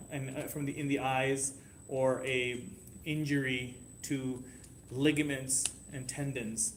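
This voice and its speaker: This man has a Canadian accent and a medium pitch. Audible room echo surrounds his voice. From Canada. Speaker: homeopathy teacher. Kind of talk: classroom lesson. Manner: halting, many restarts.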